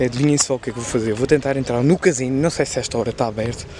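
Over noticeable background noise, a man speaks at a fairly quick pace with fairly even intonation, the sound dry with no echo. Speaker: YouTuber. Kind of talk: vlog narration. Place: street. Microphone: phone near.

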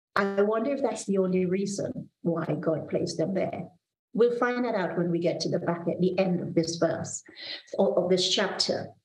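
A woman speaks with ordinary pitch variation, and some room echo can be heard. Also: medium pitch for a woman, moderate pace. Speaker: pastor. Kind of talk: devotional sermon with prayer. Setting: video call from office. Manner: earnest, warm, measured preaching delivery. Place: home room. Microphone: video call.

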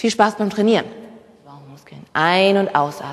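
An animated woman speaks with lively intonation over noticeable background noise. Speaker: fitness instructor. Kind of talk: guided workout instruction. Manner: brisk, rhythmic cueing.

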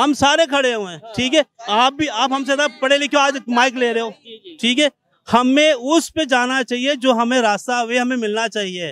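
A man with an extremely high pitch speaks at a fairly slow pace with ordinary pitch variation, in dry sound with no echo. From Pakistan. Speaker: member of the public interviewed on the street. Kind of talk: heated debate. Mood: complaining, argumentative. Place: market. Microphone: handheld.

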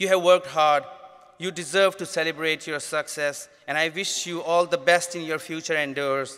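A man with a Pakistani accent, high pitch, fairly even intonation, and moderate pace, over a quiet background. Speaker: graduate student speaker; speaker. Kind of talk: formal student speech. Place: hall. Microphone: podium.

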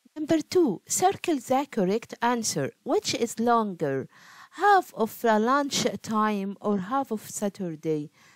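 A woman's fairly high voice in an Egyptian accent, fairly slow, with very wide pitch swings. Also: dry, close sound with no echo. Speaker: primary school math teacher. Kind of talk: tutorial. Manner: animated.

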